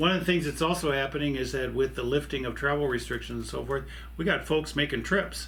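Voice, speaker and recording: A man speaks with an American accent. There is audible room echo. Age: 60s. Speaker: pastor. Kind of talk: church video announcements. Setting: office desk. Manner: halting, many fillers.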